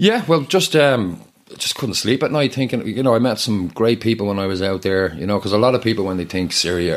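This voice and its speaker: A man with a Dublin accent, talking at a fairly quick pace with lively intonation over noticeable background noise. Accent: Irish, Dublin. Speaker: charity co-founder and aid worker. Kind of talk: casual interview chat.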